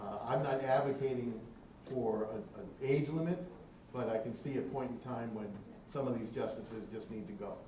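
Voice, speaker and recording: A man talking, with audible room echo and noticeable background noise around him. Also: medium pitch for a man, ordinary pitch variation, moderate pace. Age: 70s. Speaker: retired law professor on an expert panel. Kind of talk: public panel discussion answering questions. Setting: public forum with live audience.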